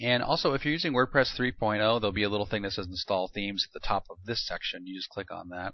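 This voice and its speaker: Hardly pausing, a man with a fairly low pitch talks at a very fast pace with ordinary pitch variation. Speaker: web marketer demonstrating a product. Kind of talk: screen-recorded software tutorial. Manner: casual with frequent fillers.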